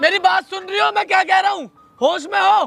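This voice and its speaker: A man shouts at a very fast pace in a put-on character voice. Faint music plays in the background. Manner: shouting.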